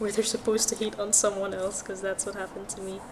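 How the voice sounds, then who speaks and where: A woman talks with a Filipino accent. There is noticeable background noise. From Philippines. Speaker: art streamer. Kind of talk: casual livestream chat while drawing. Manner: calm.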